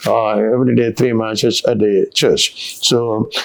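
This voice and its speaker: A man speaks with a Kerala accent. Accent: Indian English (Kerala). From India, Kerala. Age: old. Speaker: retired bishop. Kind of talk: interview.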